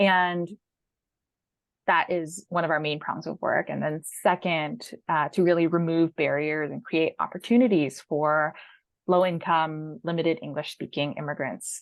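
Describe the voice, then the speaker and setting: This woman has a General American accent and an unremarkable speaking voice. Her fairly low pitch shows ordinary pitch variation at a fairly slow pace. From San Francisco, California. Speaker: education equity policy manager. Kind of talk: interview answer. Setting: video call.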